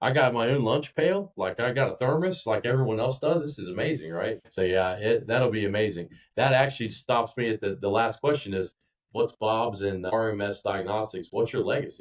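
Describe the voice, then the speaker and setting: A plain, everyday voice: a man of medium pitch with an American accent, at a fairly quick pace. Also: lively intonation. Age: 40s. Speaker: podcast host. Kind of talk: casual interview chat.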